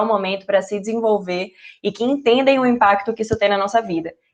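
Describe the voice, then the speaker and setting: A woman's fairly high voice in a Recife accent, with ordinary pitch variation. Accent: Recife (Pernambuco). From Brazil, Recife (Northeast). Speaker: junior enterprise trainer, innovation professional. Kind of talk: online training talk.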